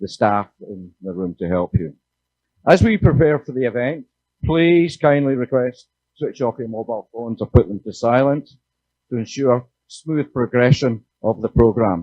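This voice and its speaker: A man in a Scottish accent speaks at a medium pitch and moderate pace with lively intonation. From Scotland. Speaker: panel moderator. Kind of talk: panel moderation. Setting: conference stage with audience.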